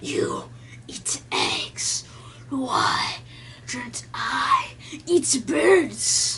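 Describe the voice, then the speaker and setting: A put-on character voice growls at a very slow pace, with long, frequent pauses. Light background noise sits behind it. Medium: solo performance. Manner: menacing.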